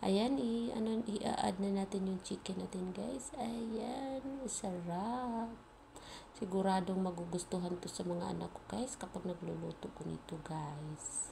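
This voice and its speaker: A soft-spoken woman at a medium pitch talks at a fairly slow pace with lively intonation, over noticeable background noise and audible room echo. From Philippines. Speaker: cooking vlogger. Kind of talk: cooking tutorial. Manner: casual.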